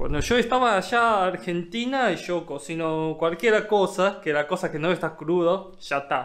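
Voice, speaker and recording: Male speaker, quiet setting behind him. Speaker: vlogger caring for nephew. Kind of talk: casual vlog chat. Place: home room. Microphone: phone near.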